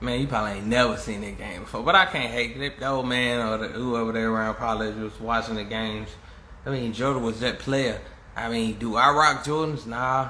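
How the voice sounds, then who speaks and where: Amid noticeable background noise and audible room echo, a man talks at a fairly quick pace, medium in pitch with fairly even intonation. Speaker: live streamer. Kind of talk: casual monologue.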